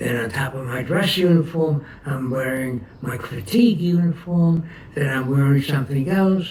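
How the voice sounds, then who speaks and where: Speaking at a fairly slow pace with lively intonation, a man in a New York accent comes through over noticeable background noise. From New York City, Brooklyn. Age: 80s+. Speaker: war veteran. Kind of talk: oral history interview. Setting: at home. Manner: halting.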